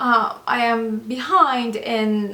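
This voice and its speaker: A woman speaks with a non-native accent at a fairly high pitch. Noticeable background noise sits behind her. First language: not English. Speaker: doctor and former nurse, video blogger. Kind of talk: advice vlog. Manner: hesitant, many fillers.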